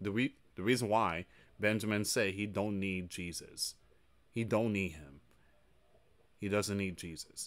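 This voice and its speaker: The pace is moderate as a man talks. Fairly even intonation runs through his speech. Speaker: news commentary channel host. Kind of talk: commentary. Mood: somber, earnest. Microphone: studio mic.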